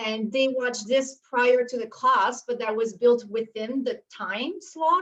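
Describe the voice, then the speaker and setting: Speaking at a moderate pace, a woman talks with a Quebec accent. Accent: French Canadian accent in English. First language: French. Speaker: university instructor. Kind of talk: panel discussion on video call. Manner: halting, with many fillers.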